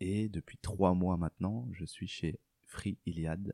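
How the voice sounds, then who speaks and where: A man speaks very slowly in a very deep, low voice with a dark, mellow tone and fairly even intonation. The sound is dry and close, without echo. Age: 30s. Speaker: recruiter. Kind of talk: interview conversation.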